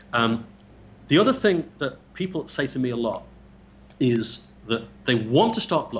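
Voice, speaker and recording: A man with an English accent speaks at a moderate pace, leaving long, frequent pauses. His pitch swings very widely. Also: medium pitch for a man. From England. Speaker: blogger and interviewer. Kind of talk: casual interview. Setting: Skype call. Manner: repeats words, stammering starts.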